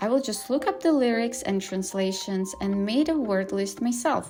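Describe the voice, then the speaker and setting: This woman speaks with a non-native accent. Her intonation is lively, and her pace is moderate. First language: not English. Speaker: language-learning vlogger. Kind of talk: tutorial vlog.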